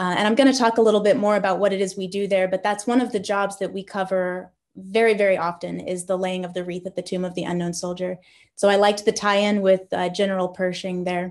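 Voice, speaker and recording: Very fast pace from a woman against a quiet background. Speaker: military band musician. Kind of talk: lecture. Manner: enthusiastic. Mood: enthusiastic. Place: home room. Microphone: webcam.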